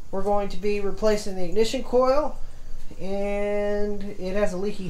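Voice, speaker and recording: A woman speaks in a room with audible echo. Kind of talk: tutorial. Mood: relaxed, jokey. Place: garage. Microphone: phone near.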